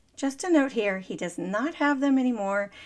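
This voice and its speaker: In an American accent, a woman with an unremarkable speaking voice talks at a moderate pace with lively intonation. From Texas, Dallas. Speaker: business coach and podcast host, Navy veteran. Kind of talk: motivational monologue.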